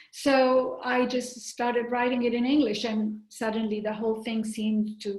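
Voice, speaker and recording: A woman with an Italian accent, fairly high in pitch and flat in intonation, at a moderate pace with hardly any pauses, over noticeable background noise. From Italy (Rome). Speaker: novelist. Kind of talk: interview. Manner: halting.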